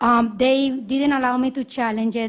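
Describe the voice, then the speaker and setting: A woman's voice sits at a high pitch. She speaks at a moderate pace. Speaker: poll challenger giving testimony. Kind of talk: testimony at public hearing. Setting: state senate committee hearing. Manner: impassioned.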